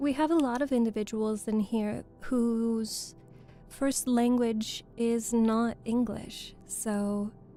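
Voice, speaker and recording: Fairly high female voice at a very slow pace, with fairly even intonation and music in the background. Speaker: voice actor. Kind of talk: casual livestream chat with viewers. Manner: soft-spoken, cozy.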